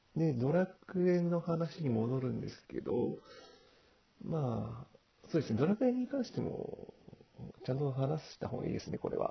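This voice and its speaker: Loudness swings widely as a man speaks at a moderate pace. Background noise is noticeable. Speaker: amateur podcast host and online gamer. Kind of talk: casual solo podcast monologue. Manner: halting, stumbling over words; hesitant with many fillers and nervous laughs.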